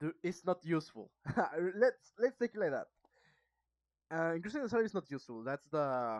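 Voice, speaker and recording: With a Mexican accent, a woman talks in very wide pitch swings broken by long, frequent pauses. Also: quiet background. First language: Spanish. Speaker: student practicing English, video blogger. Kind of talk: casual monologue book review. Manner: halting, hesitant.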